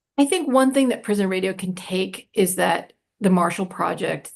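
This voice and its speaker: The woman's voice sits at a medium pitch and carries vocal fry. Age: 60s. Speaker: prison radio organization director. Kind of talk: panel discussion Q&A. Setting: live Zoom webinar. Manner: animated.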